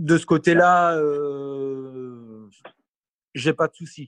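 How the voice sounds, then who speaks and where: A man's fairly high-pitched voice. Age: 40s. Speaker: electric car owner. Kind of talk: interview. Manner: hesitant.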